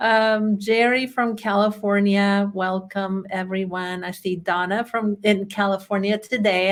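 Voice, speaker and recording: Speaking with a Chilean accent, a woman uses a medium pitch and ordinary pitch variation. Her pace is very slow. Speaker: bookkeeping trainer. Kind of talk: webinar presentation. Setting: online webinar.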